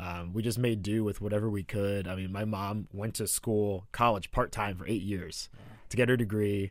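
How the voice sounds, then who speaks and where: A man speaks at a moderate pace in a fairly low pitch with a monotone, flat intonation, on a very clean recording with a silent background. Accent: American. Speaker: radio producer. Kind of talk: casual chat. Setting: studio.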